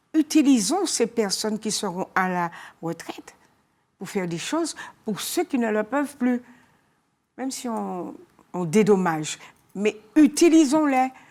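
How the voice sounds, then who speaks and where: Her tone is dark and mellow, and this woman's pitch is fairly high, with very wide pitch swings. She goes at a fairly slow pace with long, frequent pauses. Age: 70s. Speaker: co-founder of a school for caregivers. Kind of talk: TV interview.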